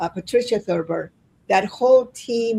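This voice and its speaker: Her dark, mellow voice sits at medium pitch, with vocal fry and lively intonation, as the woman speaks at a moderate pace. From Chile. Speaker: livestream host. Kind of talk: livestream interview. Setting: livestream.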